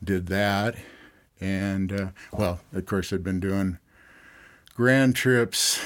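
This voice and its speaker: A man with an American accent speaks at a very slow pace in a fairly low pitch, his intonation fairly even, with long, frequent pauses on a very clean recording with a silent background. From Southern California. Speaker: river outfitter and pilot. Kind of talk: interview.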